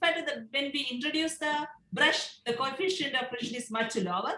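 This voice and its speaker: Raised and projected, a woman's high voice moves at a fairly quick pace with lively intonation. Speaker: professor. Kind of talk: lecture.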